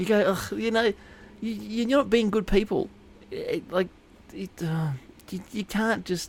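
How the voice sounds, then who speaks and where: Here a man speaks in an Australian accent. His pace is fairly slow. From Inverell, New South Wales, Australia. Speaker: podcast host. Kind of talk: casual chat.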